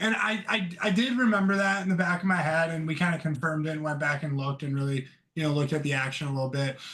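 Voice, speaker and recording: Loud and very fast, a man talks with a bright, sharp tone at a fairly high pitch and ordinary pitch variation. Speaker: stock trader. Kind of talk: casual chat. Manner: halting.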